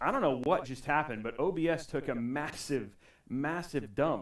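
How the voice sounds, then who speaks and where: At a moderate pace and with ordinary pitch variation, a man talks against a quiet background with audible room echo. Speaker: tech livestream host. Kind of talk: casual livestream chat. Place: home room. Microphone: headset.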